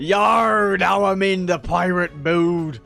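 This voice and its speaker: Over light background noise, a man puts on a character voice, high in pitch and very slow in pace. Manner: playful, exaggerated.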